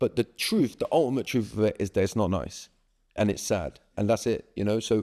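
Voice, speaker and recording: A man with a southern English accent speaks at a fairly quick pace in a fairly low voice, with a dark, mellow tone, ordinary pitch variation, and a dry, close sound with no echo on a very clean recording with a silent background. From southern England, Swindon. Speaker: breathwork and resilience coach. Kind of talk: podcast interview.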